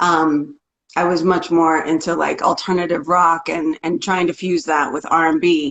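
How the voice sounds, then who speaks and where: A woman's fairly low voice with an American accent, an unremarkable speaking voice, moderate pace and fairly even intonation. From rural Oklahoma, US. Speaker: singer-songwriter. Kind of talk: interview. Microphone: clear connection.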